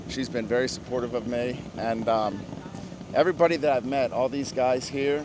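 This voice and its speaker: With noticeable background noise, a man speaks at a moderate pace in a medium pitch with fairly even intonation. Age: 60s. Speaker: amateur drag racer. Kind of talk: casual interview.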